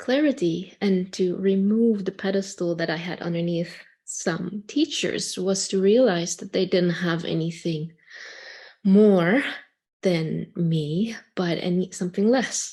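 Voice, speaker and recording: Speaking very slowly, a woman has a somewhat breathy, dark and mellow tone with a non-native accent. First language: not English. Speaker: community member. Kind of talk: online group discussion.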